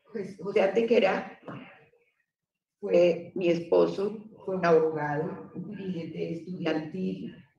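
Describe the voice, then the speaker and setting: Audible room echo surrounds a woman speaking at a very slow pace. Her pitch is fairly low and her intonation fairly even. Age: 60s. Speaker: witness. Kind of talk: testimony.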